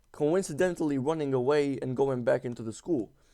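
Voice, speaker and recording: A man with a non-native accent talks at a fairly quick pace. His tone is dark and mellow, with ordinary pitch variation. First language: not English. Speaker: gaming YouTuber. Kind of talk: casual storytelling over gameplay. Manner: halting, many fillers and repeats; slangy, informal.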